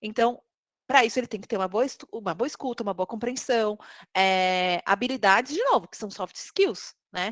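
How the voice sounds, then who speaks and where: At a moderate pace, a woman is heard with a dry, close sound with no echo over a quiet background. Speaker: tech recruiter. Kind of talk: live webinar talk.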